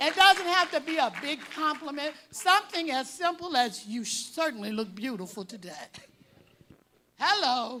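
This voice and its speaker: A woman's high, raised and projected voice in an American accent, bright and sharp in tone, with very wide pitch swings. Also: moderate pace, big swings in loudness. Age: 70s. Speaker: speaker at a parent symposium. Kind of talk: speech to an audience.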